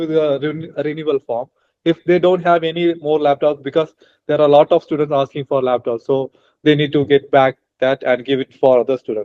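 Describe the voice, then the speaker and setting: A man speaks with an Indian accent at a moderate pace. His pitch is fairly high, with ordinary variation. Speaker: international student and student mentor. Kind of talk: interview conversation. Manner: hesitant, many fillers.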